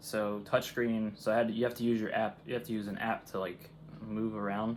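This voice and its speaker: A man at a moderate pace, fairly low in pitch, with monotone, flat intonation. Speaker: gaming YouTuber. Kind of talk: let's play commentary. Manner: casual, rambling; loud.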